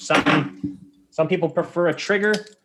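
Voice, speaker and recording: A man speaks with a Canadian accent. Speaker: competitive archer. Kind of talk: explanatory interview chat. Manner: fast; animated.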